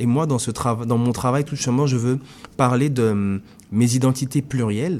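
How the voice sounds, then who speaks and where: Medium in pitch and dark and mellow in tone, a man talks at a moderate pace with ordinary pitch variation. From Congo (Kinshasa). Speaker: visual artist. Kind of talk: interview. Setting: radio studio.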